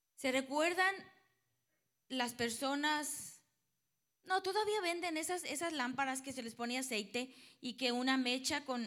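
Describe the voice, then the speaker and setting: Using a Mexican accent, a woman with a high pitch and a bright, sharp tone speaks at a fairly slow pace with lively intonation and long, frequent pauses. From Mexico. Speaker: preacher. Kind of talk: sermon with live interpretation.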